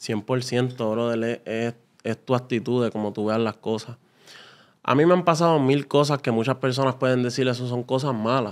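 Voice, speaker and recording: A man with fairly even intonation talks at a moderate speed against a quiet background. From Puerto Rico, Carolina; Puerto Rico. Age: 20s. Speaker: salesman; podcast guest. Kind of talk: interview; interview answer. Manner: halting. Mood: reflective, relaxed. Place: studio. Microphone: studio mic.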